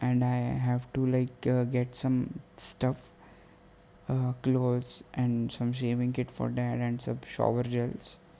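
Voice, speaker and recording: A man's dark, mellow, medium-pitched voice, flat and monotone, at a fairly slow pace. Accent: non-native. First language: not English. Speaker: podcaster. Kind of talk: casual monologue. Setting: at home late at night. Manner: halting.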